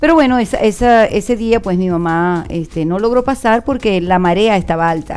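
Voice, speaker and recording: With hardly any pauses, an unremarkable speaking voice moves at a moderate pace with lively intonation. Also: woman, medium pitch for a woman. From Venezuela, Margarita Island. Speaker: university professor. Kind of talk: radio interview. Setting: radio studio.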